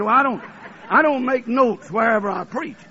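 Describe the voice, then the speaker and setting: Speaking with a Southern US accent, a man with an extremely high pitch uses ordinary pitch variation. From US South, Alabama. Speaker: preacher. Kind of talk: sermon. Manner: fervent.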